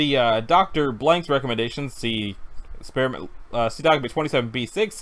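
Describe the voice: The clip is plain reading aloud. It is delivered as plain reading aloud throughout.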